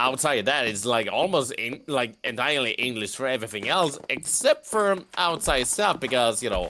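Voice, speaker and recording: A man speaks at medium pitch and a moderate pace with a slight Swedish accent. His tone is bright and sharp, his intonation lively, and he hardly pauses at all. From Sweden. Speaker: gamer friend. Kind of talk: casual chat while gaming.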